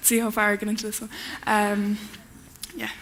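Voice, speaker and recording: In an Irish accent, a woman talks at a fairly quick pace. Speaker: spoken word poet. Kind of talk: conference talk; poetry performance. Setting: stage with audience. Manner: fast.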